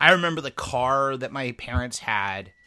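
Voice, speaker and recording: A man's bright, sharp tone. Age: 40s. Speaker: podcast co-host. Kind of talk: casual chat.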